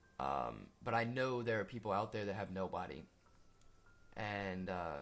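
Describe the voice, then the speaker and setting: A man with an American accent, fairly low-pitched, with lively intonation, vocal fry and a fairly slow pace. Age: young. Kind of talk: personal testimony talk to camera. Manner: hesitant, earnest.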